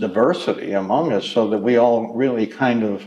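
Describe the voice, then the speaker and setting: An American accent marks this voice. It moves at a moderate pace. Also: man. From Pleasanton, California (US West). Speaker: oral history interviewee, longtime resident. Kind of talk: oral history interview. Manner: halting, many fillers and restarts.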